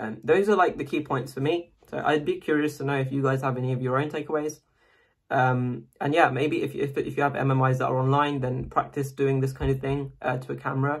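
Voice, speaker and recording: Talking at a fairly quick pace, a man with a fairly high pitch sounds somewhat breathy, his intonation fairly even. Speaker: medical student making an interview tips video. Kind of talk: casual tutorial monologue to camera. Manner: fast; hesitant, many fillers.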